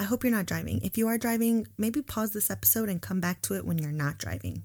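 In a very clean recording with a silent background, a woman sounds animated and upbeat, somewhat breathy, her pitch swinging very widely. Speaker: podcast host, student housing professional. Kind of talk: guided breathing meditation, calm and soothing, then casual chat. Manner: slow, soft, rhythmic and coaxing during breathing exercise; animated, candid, conversational, upbeat.

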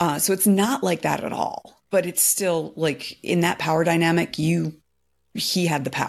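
With a very clean recording and a silent background, an unremarkable speaking voice has ordinary pitch variation and keeps a moderate pace. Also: woman, fairly low pitch for a woman. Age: 40s. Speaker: podcast host. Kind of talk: casual chat.

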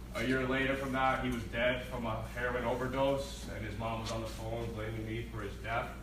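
The speaker talks at a fairly quick pace with hardly any pauses, in an American accent. There is audible room echo and noticeable background noise. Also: man. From New Jersey, US. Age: 20s. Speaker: recovery program resident, former addict. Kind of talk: testimony.

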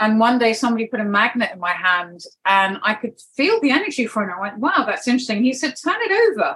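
This woman with a southern English accent talks at a fairly quick pace and a fairly high pitch. Her pitch swings very widely. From United Kingdom. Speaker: wellness practitioner and network marketing leader. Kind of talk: interview.

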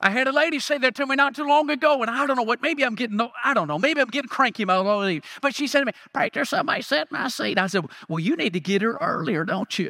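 The man's voice is raised and projected, with extremely high pitch. His intonation is lively and his pace very fast. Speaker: guest preacher. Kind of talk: sermon. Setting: church with congregation. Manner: fervent, rhythmic call-and-response style.

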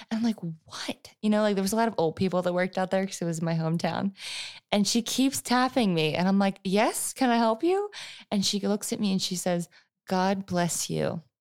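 A woman with an unremarkable speaking voice talks at a fairly quick pace and medium pitch. Her pitch variation is ordinary, and the recording is very clean with a silent background. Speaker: podcast co-host. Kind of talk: casual chat.

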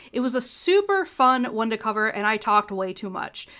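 Raised and projected, a woman's bright, sharp voice with a Midwestern American accent moves at a fairly quick pace in an animated tone with very wide pitch swings. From US Midwest, Ohio. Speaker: podcast host. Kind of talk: solo educational podcast.

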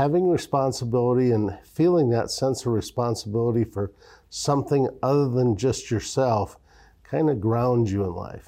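A man with an Upper Midwest accent speaks at medium pitch in a dark, mellow tone. His pace is moderate, his pitch variation ordinary, and the background quiet. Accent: Upper Midwest American. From Iowa, small-town. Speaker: bank executive. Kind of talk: interview. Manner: halting, many filler words.

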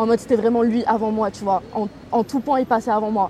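Pitched fairly high, a woman's voice stays monotone and flat. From southern France, Toulon. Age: 20s. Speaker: interviewee. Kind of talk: personal storytelling interview. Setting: outdoors by a canal. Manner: spontaneous, hesitant with fillers.

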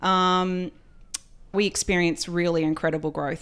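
A woman with an Australian accent at a fairly quick pace, fairly even intonation, on a very clean recording with a silent background. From rural Australia, Queensland. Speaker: company CEO. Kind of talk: interview.

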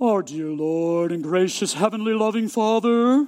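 This put-on character voice is booming and pitched fairly high. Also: moderate pace. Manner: solemn, articulate, prayerful.

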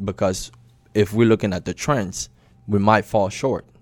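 A man with a plain, everyday voice talks at a moderate pace in a fairly low pitch with fairly even intonation, in a dry, close sound with no echo and a very clean recording with a silent background. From Maryland, US. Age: 20s. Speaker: insurance agent and team leader. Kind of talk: interview.

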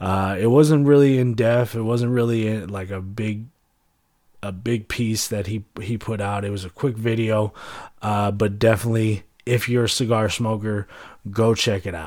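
At a moderate pace, a man with a fairly low pitch speaks with fairly even intonation on a very clean recording with a silent background. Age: 30s. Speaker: podcast host. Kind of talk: casual chat. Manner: halting, many fillers.

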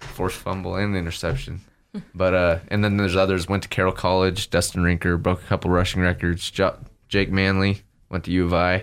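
Someone with an American accent speaks at a fairly quick pace in a monotone, flat intonation. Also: man, very deep, low pitch for a man. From Idaho, US. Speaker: college football player. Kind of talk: radio interview. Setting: studio.

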